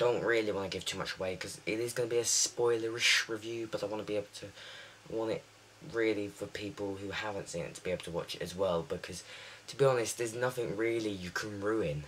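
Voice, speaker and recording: Talking at a very fast pace, a man keeps his pitch fairly low. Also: fairly even intonation. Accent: British. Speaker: TV show reviewer. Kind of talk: casual video review. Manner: halting, many fillers.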